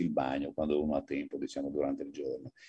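A man speaks at a very fast pace. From Friuli, north-east Italy. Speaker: astronomer. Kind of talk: lecture. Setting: video call. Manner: fluent.

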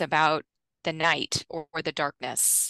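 A woman's fairly low voice with a bright, sharp tone at a moderate pace, dry with no echo, over a quiet background. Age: 50s. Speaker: nutrition scientist; guest. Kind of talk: interview. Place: home room. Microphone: headset.

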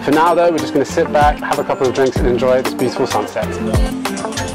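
Clear music plays in the background. Over it, a man talks at a very fast pace with ordinary pitch variation. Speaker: travel vlogger. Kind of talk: casual vlog chat. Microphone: lapel.

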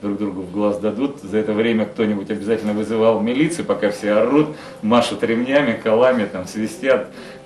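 A man's fairly low voice at a fairly quick pace, with ordinary pitch variation, audible room echo and light background noise. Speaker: interviewee. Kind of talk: interview answer. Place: home room. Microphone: handheld.

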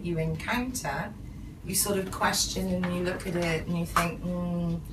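Against noticeable background noise, a woman speaks at a moderate pace with fairly low pitch. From England, UK. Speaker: English lecturer. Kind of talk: interview answer. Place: office. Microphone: camera far.

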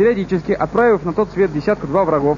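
Over noticeable background noise, a man talks at a very fast pace with lively intonation. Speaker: TV presenter narrating a video game review. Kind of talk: TV show voice-over game review.

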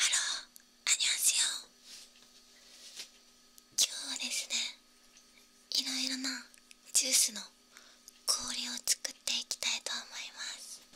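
A soft-spoken woman whispers at a very slow pace, leaving long, frequent pauses. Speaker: home food video creator. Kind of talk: casual vlog chat, soft-spoken. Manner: soft close ASMR whisper. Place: home room.

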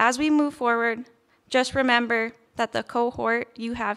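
A woman with a Canadian accent speaks at a fairly slow pace with fairly even intonation. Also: quiet background. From Red Deer, Alberta; Alberta, Canada. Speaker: nursing graduate. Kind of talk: valedictory speech. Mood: grateful, warm. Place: stage. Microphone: podium.

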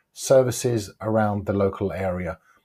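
Against a quiet background, a man with a dark, mellow tone and fairly low pitch sounds somewhat breathy, speaking at a moderate pace with ordinary pitch variation. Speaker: online ads coach. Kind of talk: tutorial. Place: home room. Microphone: lapel.

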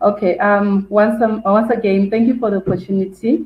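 A woman's somewhat breathy voice sits at medium pitch with ordinary pitch variation. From South Africa. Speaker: career counsellor. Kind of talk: interview.

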